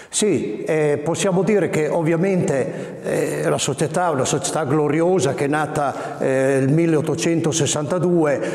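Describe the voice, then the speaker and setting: A man speaks at a fairly slow pace with hardly any pauses, his intonation fairly even and his loudness very even. The room echo is audible. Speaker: dialect poet. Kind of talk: interview answer. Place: hall.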